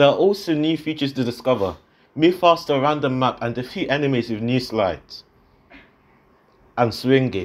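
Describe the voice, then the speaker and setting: Speaking at a moderate pace with long, frequent pauses, a man uses lively intonation at a medium pitch. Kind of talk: game trailer voice-over.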